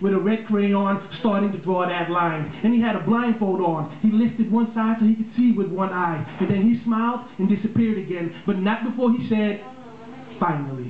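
High-pitched for a man, this speaker uses ordinary pitch variation at a moderate pace. Light background noise and audible room echo are present. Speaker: spoken word poet. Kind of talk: spoken word poetry performance. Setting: live on a small bar stage with audience. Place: stage.

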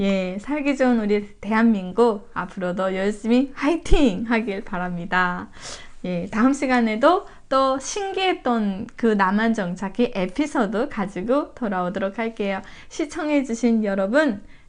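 This woman has a normal speaking voice with a fairly high pitch. She talks at a fairly slow pace with lively intonation. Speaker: YouTuber, North Korean defector. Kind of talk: casual interview chat.

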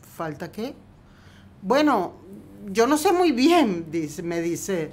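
A woman speaks at a very slow pace. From Argentina, Quilmes near Buenos Aires. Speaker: film script supervisor. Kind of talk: interview. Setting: at home.

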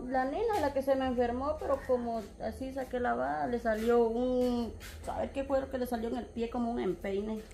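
A woman speaks in a high voice over light background noise. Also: ordinary pitch variation, moderate pace. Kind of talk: interview answer. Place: home room. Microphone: phone near.

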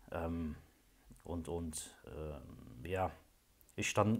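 A man speaks with a very deep, low pitch and a somewhat breathy sound. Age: 30s. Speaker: client giving a testimonial, train driver. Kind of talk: testimony. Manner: hesitant, many filler sounds. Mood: calm, reflective. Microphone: phone near.

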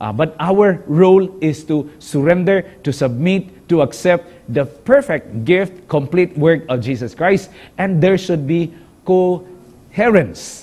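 A man with a Western Visayan accent, a dark, mellow tone, lively intonation, and a very slow pace. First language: Hiligaynon (speaking Tagalog). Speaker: pastor and communication director; pastor teaching a Bible lesson. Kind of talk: Bible study lesson. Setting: studio. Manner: halting, many filler sounds. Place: studio. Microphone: lapel.

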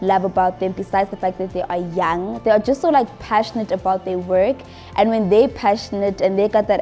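Faint music plays in the background while a woman speaks. Her pace is fairly quick and her intonation fairly even. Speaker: travel vlogger. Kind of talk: interview answer. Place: home room. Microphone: lapel.

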